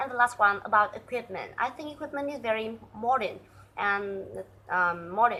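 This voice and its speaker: With a bright, sharp tone and fairly high pitch, a woman speaks at a moderate pace, her pitch varying normally and her loudness swinging widely. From Vietnam. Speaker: student. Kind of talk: prepared presentation. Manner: halting, many fillers.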